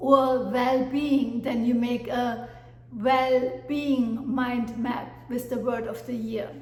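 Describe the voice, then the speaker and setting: In a German accent, a woman speaks at a high pitch with monotone, flat intonation. Audible room echo and noticeable background noise are in the recording. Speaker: life coach. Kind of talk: motivational talk. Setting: at home with dog. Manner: hesitant with fillers.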